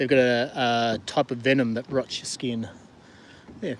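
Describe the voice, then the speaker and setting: A man with an Australian accent, at a moderate pace. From Australia, Blue Mountains near Sydney. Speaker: YouTuber. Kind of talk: casual live stream chat. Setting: outdoors on a river in the rain.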